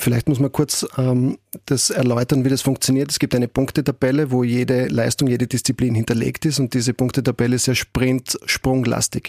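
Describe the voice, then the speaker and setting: A man speaks at a fairly quick pace, medium in pitch, with a dark, mellow tone. His intonation is monotone and flat, and the sound is dry and close, with no echo. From Austria, Graz. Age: 40s. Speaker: football club executive, former athlete. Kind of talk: interview. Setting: studio.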